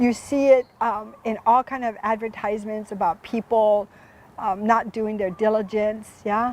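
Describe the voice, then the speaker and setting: Talking with a Hawaiian accent, a woman uses a fairly high pitch. Her pace is fairly slow. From Hawaii, Oahu. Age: 70s. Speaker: community foundation host. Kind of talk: interview show. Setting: outdoors in a garden.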